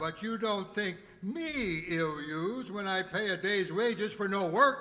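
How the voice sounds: Using a put-on character voice, a man speaks slowly in a high, bright, sharp tone with lively intonation.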